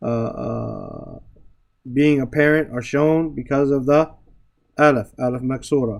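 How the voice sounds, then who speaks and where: This man talks at a fairly slow pace, his fairly high voice keeping a fairly even intonation. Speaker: Arabic grammar and Quran teacher. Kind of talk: lecture. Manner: halting.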